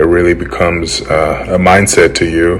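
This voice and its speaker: A man's very deep, low pitch at a very slow pace, against noticeable background noise. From Germany. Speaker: former college football offensive lineman. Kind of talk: interview answer. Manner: casual, hesitant with many fillers.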